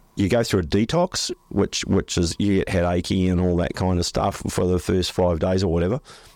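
With an Australian accent, a man with a very deep, low pitch speaks at a moderate pace, his intonation fairly even and his loudness very even, in a dry, close sound with no echo on a very clean recording with a silent background. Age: 60s. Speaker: flooring business owner. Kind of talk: casual interview. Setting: studio.

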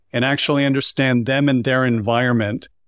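A man with a plain, everyday voice speaks at a fairly quick pace and medium pitch, recorded very cleanly against a silent background with a dry, close sound and no echo. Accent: Canadian. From Canada. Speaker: sales coach. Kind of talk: roundtable discussion.

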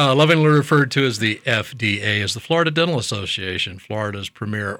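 The voice has a bright, sharp tone and lively intonation. It moves at a fairly quick pace in a very clean recording with a silent background. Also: man. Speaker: dentist. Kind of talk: casual interview chat. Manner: joking, humorous.

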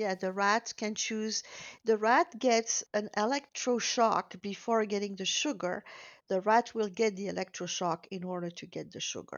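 A woman speaks in a French accent at a fairly high pitch. Her pace is moderate, with ordinary pitch variation. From Belgium. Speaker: weight loss program founder. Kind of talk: interview. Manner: hesitant, many fillers.

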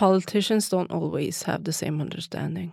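Vocal fry and a non-native accent come through at a moderate pace in a very clean recording with a silent background. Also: woman. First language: not English. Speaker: city council politician. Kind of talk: radio interview. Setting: studio. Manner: halting.

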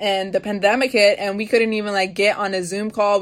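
A woman speaks in a Baltimore accent with monotone, flat intonation. The background is quiet. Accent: Baltimore American English. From Baltimore, US. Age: young. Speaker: student advocate. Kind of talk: interview. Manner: casual, lots of fillers.

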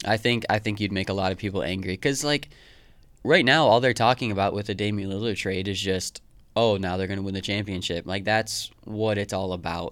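A man speaks in a plain, everyday voice at a fairly quick pace. His pitch is fairly low, with ordinary pitch variation. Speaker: podcast co-host. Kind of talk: casual comedic chat.

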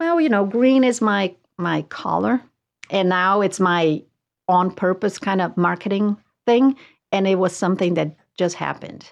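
At a moderate pace and with a Portuguese accent, a woman speaks at medium pitch with ordinary pitch variation, leaving long, frequent pauses against a quiet background. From southern Brazil. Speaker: realtor. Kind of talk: casual chat.

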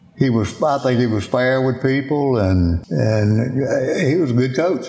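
With a Louisiana accent, a man of medium pitch talks at a fairly slow pace with ordinary pitch variation. Noticeable background noise runs underneath. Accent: Louisiana Southern US. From Louisiana, Baton Rouge. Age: 70s. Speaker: former football player and restaurant owner. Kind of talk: interview. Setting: at a home with animals in background.

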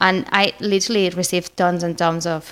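With a Spanish accent, a woman talks at a fairly slow pace in a fairly low pitch and fairly even intonation. The recording is very clean, with a silent background. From Spain. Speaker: marketing manager. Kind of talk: interview.

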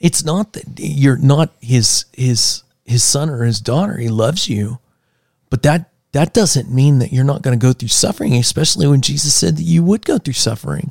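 With an American accent, a man speaks at a moderate pace in a somewhat breathy voice with lively intonation, the sound dry and close with no echo. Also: medium pitch for a man. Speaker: podcast co-host. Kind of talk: casual chat. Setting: studio. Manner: animated.

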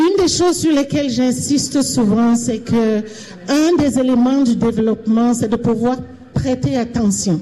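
A woman's high voice at a fairly slow pace, very even in loudness, with ordinary pitch variation and noticeable background noise. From Cameroon. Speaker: panelist. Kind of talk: panel testimony. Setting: event hall with live audience.

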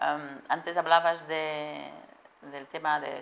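The woman's voice sits at a fairly low pitch. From Portugal. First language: Portuguese (speaking Spanish). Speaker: supply chain manager. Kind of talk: interview.

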